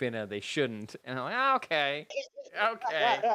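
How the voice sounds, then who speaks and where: A loud voice with a bright, sharp tone and a Canadian accent comes through on a very clean recording with a silent background. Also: man. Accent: Canadian, toned-down O's. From Canada. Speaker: podcast co-host. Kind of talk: casual chat. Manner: projects loudly on mic.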